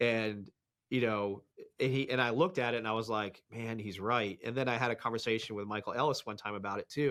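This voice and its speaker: In a very clean recording with a silent background, a man with an American accent talks very fast at medium pitch. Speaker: police dog trainer. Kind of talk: interview conversation. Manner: loud.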